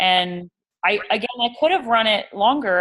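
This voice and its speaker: A woman is speaking. Her tone is bright and sharp. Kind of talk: casual chat. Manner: fast.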